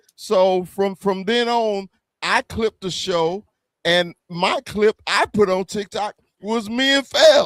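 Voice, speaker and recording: A man at a very slow pace, high in pitch, with a Southern US accent, in a dry, close sound with no echo. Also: ordinary pitch variation. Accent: Southern twang. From US South. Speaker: YouTube sports podcaster, Cowboys fan. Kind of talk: casual panel chat on livestream. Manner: stammering, repeating words.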